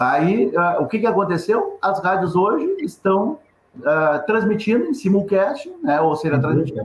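A man's high voice with very wide pitch swings, very even loudness, and a fairly slow pace. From Rio Grande do Sul, Brazil. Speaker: journalist and radio news agency founder. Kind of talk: webinar panel discussion.

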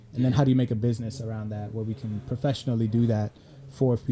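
Somewhat breathy and dark, mellow in tone, a man's medium-pitched voice moves in a monotone, flat line. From Sweden. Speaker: media company founder, brand consultant. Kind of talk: casual chat.

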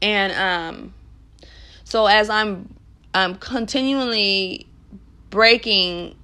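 Her tone bright and sharp, a woman speaks at a medium pitch with ordinary pitch variation. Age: 30s. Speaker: podcast host. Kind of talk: solo motivational monologue. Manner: casual, many fillers.

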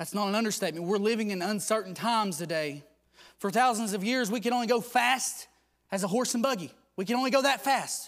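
A man speaks at a very fast pace. His pitch is high, with ordinary pitch variation. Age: 20s. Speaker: preacher. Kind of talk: sermon.

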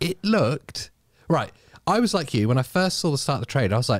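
A man's voice shows vocal fry and very wide pitch swings. The recording is very clean with a silent background, and the sound is dry and close with no echo. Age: 30s. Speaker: gaming podcast host. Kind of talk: casual chat. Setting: live stream.

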